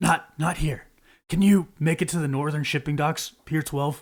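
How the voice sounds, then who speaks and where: Man's raspy put-on character voice, fairly high in pitch, with fairly even intonation at a moderate pace. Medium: actual play. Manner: soft-spoken, guarded.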